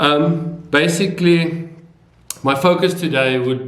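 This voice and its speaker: A man with a South African accent speaks at a very slow pace amid audible room echo. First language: Afrikaans. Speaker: video blogger. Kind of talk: casual vlog talk. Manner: hesitant, many fillers.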